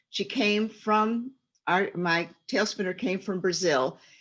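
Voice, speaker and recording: Against a quiet background, a woman with a medium-pitched voice speaks at a fairly slow pace with ordinary pitch variation. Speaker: retired teacher and storyteller. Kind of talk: panel presentation. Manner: halting, many fillers.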